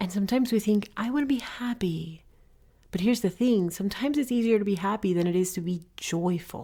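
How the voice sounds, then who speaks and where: This woman talks at a fairly quick pace with a somewhat breathy, dark, mellow and warm tone. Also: medium pitch for a woman, ordinary pitch variation. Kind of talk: podcast talk. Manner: warm, encouraging.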